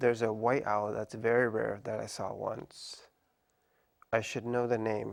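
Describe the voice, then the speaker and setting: Soft-spoken and fairly slow, a man at medium pitch delivers his words in a monotone, flat intonation. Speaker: tattoo artist. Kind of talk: interview answer.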